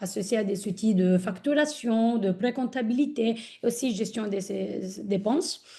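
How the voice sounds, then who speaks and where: A woman speaks at a fairly slow pace in an Italian accent. Her fairly high voice is somewhat breathy, with a dark, mellow tone. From Italy. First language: Italian (speaking French). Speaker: corporate ESG manager. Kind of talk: webinar guest introduction. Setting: online webinar. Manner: hesitant, many fillers.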